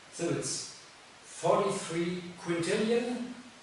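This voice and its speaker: A man's high-pitched voice in a German accent, with ordinary pitch variation, audible room echo and noticeable background noise. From Germany. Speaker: teacher. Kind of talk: educational talk. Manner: halting.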